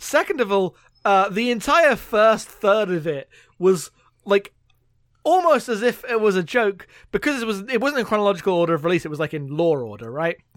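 Here a man with a London accent speaks at a fairly quick pace on a very clean recording with a silent background. His pitch is high and swings very widely. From London, England. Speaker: gaming podcaster. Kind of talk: casual chat.

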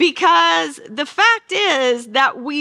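This woman's voice is high, bright and sharp, with a Southern US accent. She speaks in a raised, projected voice. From Arkansas. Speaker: Bible teacher. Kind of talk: Bible study lecture. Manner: animated.

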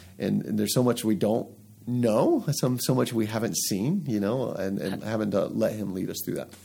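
Over music in the background, a man with an American accent speaks with ordinary pitch variation. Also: fairly low pitch for a man, moderate pace. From US South, Atlanta. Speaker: podcast host, pastor. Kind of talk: interview.

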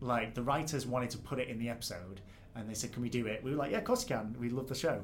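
Over noticeable background noise, a man with a Mancunian accent speaks very fast at a medium pitch with fairly even intonation. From northern England, near Manchester. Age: 20s. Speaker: game developer. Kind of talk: casual interview. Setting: game studio. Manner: natural, relaxed.

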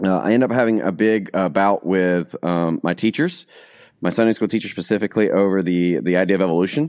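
In a Southern US accent, a man speaks very fast with a very deep, low pitch and ordinary pitch variation. His loudness stays very even against a quiet background. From US South (Alabama). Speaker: pastor. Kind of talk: testimony. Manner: halting.

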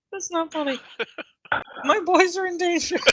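In a put-on, squeaky character voice pitched extremely high, a woman delivers her lines at a moderate pace. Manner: laughing while speaking, upset.

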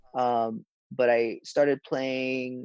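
A man in a Hawaiian accent at medium pitch, fairly even in intonation, with a dry, close sound and no echo. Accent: Hawaiian American. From Hawaii, Honolulu. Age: 20s. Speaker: professional golfer. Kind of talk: casual interview. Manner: halting, many fillers.

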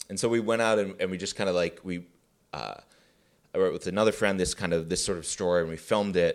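On a very clean recording with a silent background, a man with an American accent talks at a very fast pace in a very deep, low voice with fairly even intonation. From US Midwest, Chicago suburbs. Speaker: filmmaker. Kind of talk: interview. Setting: library room. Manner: halting.

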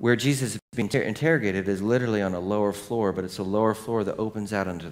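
Someone reads the text aloud in a plain manner.

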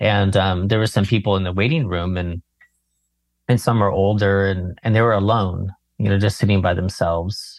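A man with an American accent, fairly low pitch and fairly even intonation at a moderate pace over a quiet background. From California. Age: 40s. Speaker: meditation teacher. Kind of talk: casual chat.

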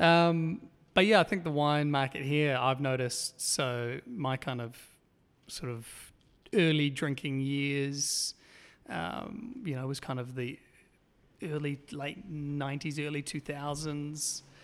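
In a very clean recording with a silent background, a man with a New Zealand accent speaks at a very slow pace. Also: fairly high pitch for a man, ordinary pitch variation. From New Zealand, East Auckland. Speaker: documentary filmmaker. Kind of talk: interview. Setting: at a film company office.

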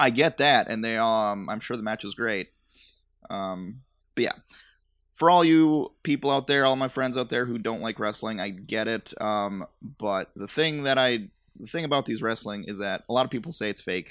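A man has an ordinary speaking voice at medium pitch, with ordinary pitch variation. He speaks at a moderate pace over a quiet background. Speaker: podcast host. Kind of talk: casual banter chat. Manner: joking, playful.

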